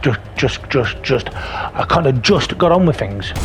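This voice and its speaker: A man with a British accent at a moderate pace, his intonation lively, amid noticeable background noise. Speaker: gaming YouTuber. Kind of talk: gameplay commentary voiceover. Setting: recorded voiceover over gameplay. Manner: sometimes stutters, halting; casual, animated.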